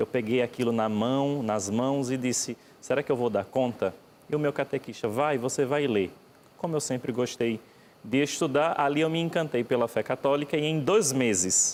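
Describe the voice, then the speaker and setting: A man with a Pernambuco accent and a medium pitch. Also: ordinary pitch variation, moderate pace, very even loudness. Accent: Pernambuco (Northeast Brazilian). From Brazil, Pernambuco (Northeast). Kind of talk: TV interview.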